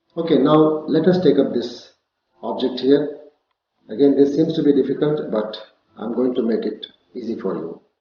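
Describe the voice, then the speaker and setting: In a room with audible echo, a man talks at a moderate pace in a fairly high pitch, with ordinary pitch variation and long, frequent pauses. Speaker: CAD instructor. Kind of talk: tutorial.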